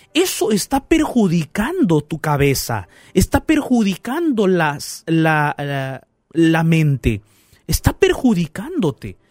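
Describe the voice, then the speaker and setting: Recorded dry and close with no echo, a man speaks at a very slow pace. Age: 30s. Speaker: pastor and radio host. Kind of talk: radio Bible talk show. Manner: warm, animated.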